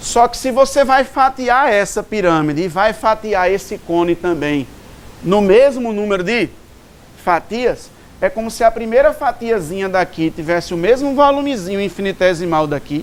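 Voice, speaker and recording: With lively intonation, the voice proceeds at a moderate pace. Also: man, high pitch for a man. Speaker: maths teacher. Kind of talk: lecture.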